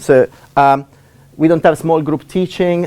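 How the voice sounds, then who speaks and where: A man speaks with an Italian accent. His pitch varies in an ordinary way. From Italy. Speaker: university lecturer. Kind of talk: lecture. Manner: fast; halting. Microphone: laptop.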